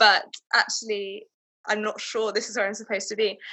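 Speaking with a southern English accent, a woman uses a fairly high pitch and a monotone, flat intonation. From England, town north of London. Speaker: civil servant. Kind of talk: casual chat. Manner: halting.

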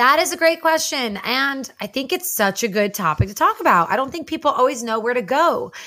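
Projecting a raised voice with a bright, sharp tone, a woman with an American accent speaks at a fairly quick pace with hardly any pauses, her high pitch swinging very widely. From New Jersey. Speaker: podcast host. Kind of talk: casual chat.

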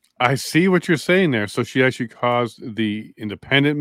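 Fairly quick in pace, a man with a plain, everyday voice talks at medium pitch on a very clean recording with a silent background. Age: 40s. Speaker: podcast host. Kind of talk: interview.

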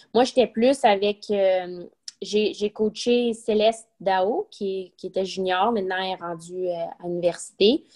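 Dry and close with no echo, a woman's medium-pitched voice moves at a very slow pace with fairly even intonation. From Quebec. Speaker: retired professional golfer. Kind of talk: interview.

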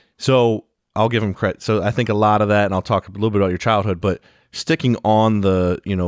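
This is a plain, everyday voice: a man with an American accent, talking at a fairly quick pace with fairly even intonation. The sound is dry and close with no echo, over a quiet background. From Ohio. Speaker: podcast co-host. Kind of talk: casual interview.

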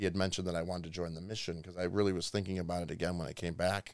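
Speaking very fast, a man delivers his words in a very deep, low voice with monotone, flat intonation. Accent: Chicago. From Chicago suburbs, Illinois. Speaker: missionary. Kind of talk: interview, personal testimony. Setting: studio.

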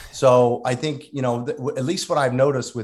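Very fast and somewhat breathy, a man speaks at a medium pitch with ordinary pitch variation. The background is quiet. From South Jersey. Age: 50s. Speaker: chiropractor. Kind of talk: interview.

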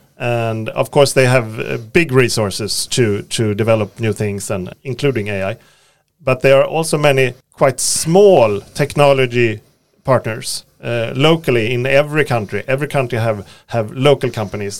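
A man speaks with a Swedish accent at a medium pitch. His pitch varies in an ordinary way. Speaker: podcast host. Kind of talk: interview. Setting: studio.

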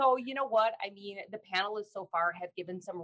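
A normal speaking voice moves at a fairly quick pace with ordinary pitch variation. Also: woman, dry, close sound with no echo. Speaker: teletherapy SLP, clinical manager and materials creator. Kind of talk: panel discussion.

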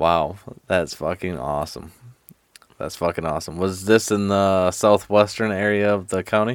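With an American accent, a man speaks at a very deep, low pitch with ordinary pitch variation. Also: moderate pace. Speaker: podcast host. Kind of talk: casual chat. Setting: studio. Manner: animated.

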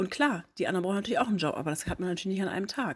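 Medium-pitched with ordinary pitch variation, a woman is heard on a very clean recording over a silent background. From northern Germany, near Hamburg. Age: 30s. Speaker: podcast host. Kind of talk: personal storytelling monologue. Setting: home living room.

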